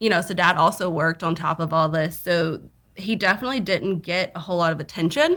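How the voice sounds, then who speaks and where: Fairly quick and fairly low-pitched, a woman with a Southern accent speaks with ordinary pitch variation in a very clean recording with a silent background. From US South. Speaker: podcast guest. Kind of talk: casual chat.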